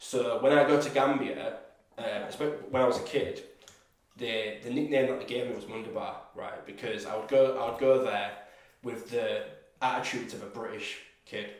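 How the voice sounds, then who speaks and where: Audible room echo surrounds a man speaking at a moderate pace. His loudness swings widely, and he takes long, frequent pauses. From England, Gambian heritage. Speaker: content creator and camera operator. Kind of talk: casual chat.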